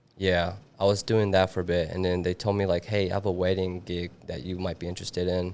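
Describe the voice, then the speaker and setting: With a slight non-native accent, a man speaks very fast in a flat monotone at a very deep, low pitch. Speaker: videographer. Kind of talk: casual podcast interview.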